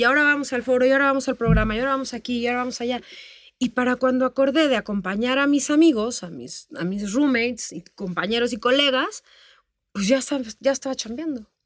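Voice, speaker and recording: A woman speaks at a very fast pace, with a high pitch and ordinary pitch variation. The recording is very clean, with a silent background. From Tamaulipas, northern Mexico. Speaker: music industry manager and teacher. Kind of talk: interview.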